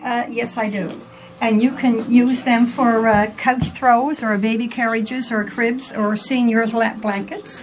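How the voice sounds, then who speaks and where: A woman with a slight Newfoundland accent, fairly high-pitched and monotone, at a fairly slow pace, amid background music and audible room echo. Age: 70s. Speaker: rug maker. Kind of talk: casual interview.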